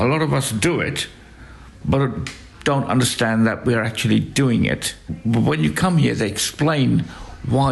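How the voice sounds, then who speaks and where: A man talks at a moderate pace. Noticeable background noise runs under the voice. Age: 60s. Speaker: hospice patient. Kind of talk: interview. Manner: halting.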